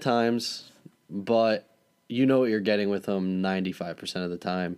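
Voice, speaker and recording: A man speaks at a moderate pace and fairly low pitch. He has an unremarkable speaking voice. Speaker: podcast host. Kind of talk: casual sports podcast chat with ad read.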